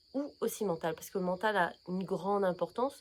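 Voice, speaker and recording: The woman's voice sits at a medium pitch and shows ordinary variation. She keeps to a moderate pace. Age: 40s. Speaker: naturopath. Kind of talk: casual vlog presentation. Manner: hesitant, many fillers.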